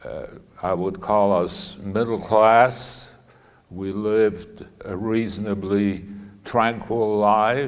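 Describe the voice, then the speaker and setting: Very slow, monotone, flat speech from a fairly low-pitched man with a Polish accent, with audible room echo. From Poland, Lodz. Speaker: Holocaust survivor speaker. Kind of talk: talk to students. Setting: school audience. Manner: halting.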